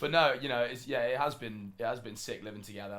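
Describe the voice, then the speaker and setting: This is a man speaking. He has a British accent. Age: 20s. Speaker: esports player. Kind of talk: casual chat.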